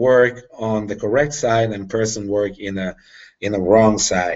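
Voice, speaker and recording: Speaking slowly-ish with a non-native accent, a man uses a medium-pitched voice at a fairly slow pace. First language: not English. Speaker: tactical firearms instructor. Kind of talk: live Q&A explanation. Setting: video call. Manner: halting.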